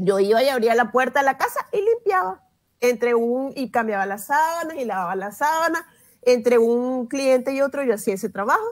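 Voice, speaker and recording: Against a quiet background, a woman with a high pitch speaks at a moderate pace with lively intonation. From Venezuela. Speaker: journalist and children's language educator; journalist, children's language educator. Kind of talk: interview. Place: home room. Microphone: earbuds.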